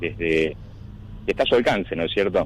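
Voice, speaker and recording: Rather flat intonation with clear background noise behind it. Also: man. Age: 50s. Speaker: animal shelter manager. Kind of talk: radio interview answer.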